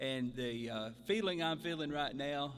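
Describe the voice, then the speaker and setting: This man has a Southern US accent and a medium pitch. His pitch varies in an ordinary way. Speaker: mayor. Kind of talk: ceremony speech. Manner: slow.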